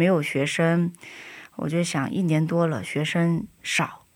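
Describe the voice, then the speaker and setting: A woman's fairly low voice at a very slow pace. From China. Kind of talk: interview testimony. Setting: studio.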